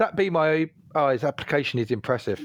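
This man has a plain, everyday voice, fairly high in pitch, talking at a fairly quick pace in a dry, close sound with no echo. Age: 40s. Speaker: podcast host. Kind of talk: casual chat.

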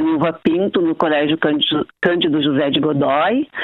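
There is noticeable background noise as a woman talks. Her intonation is lively and her pace moderate. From Porto Alegre, southern Brazil. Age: 60s. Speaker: dance teacher and studio owner. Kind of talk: interview.

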